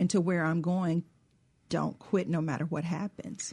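In a Southern US accent, a woman speaks at a moderate pace with a fairly low pitch, a dark, mellow tone, fairly even intonation and a somewhat breathy quality. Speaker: cookbook author and co-host. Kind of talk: radio talk show.

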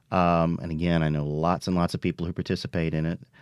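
A man speaks with a Mississippi accent. The sound is dry and close with no echo, against a quiet background. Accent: Mississippi Southern. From US South, Philadelphia, Mississippi. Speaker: actor and elementary school teacher. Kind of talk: radio interview.

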